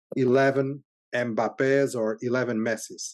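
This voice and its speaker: Over a quiet background, a man with a Portuguese accent talks at a medium pitch. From Portugal. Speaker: software company CEO. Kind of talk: interview. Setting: podcast interview. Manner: halting, many repetitions.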